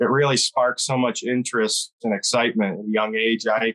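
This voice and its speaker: A man with an American accent speaks at a moderate pace and a medium pitch with fairly even intonation. His tone is bright and sharp, and the sound is dry and close with no echo. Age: 30s. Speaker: hunting guide. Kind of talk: interview.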